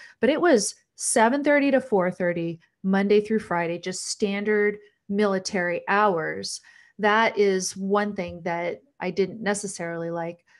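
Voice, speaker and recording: A woman's fairly slow, medium-pitched delivery, an ordinary speaking voice with ordinary pitch variation, over a quiet background. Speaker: talk show host and former law professor. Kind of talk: patron Q&A livestream. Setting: livestream.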